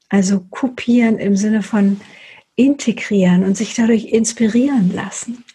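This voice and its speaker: A woman with a normal speaking voice, fairly high in pitch, at a fairly slow pace with fairly even intonation. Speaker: meditation guide. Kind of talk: guided meditation. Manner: slow, soft, soothing; gentle, unhurried pacing with pauses.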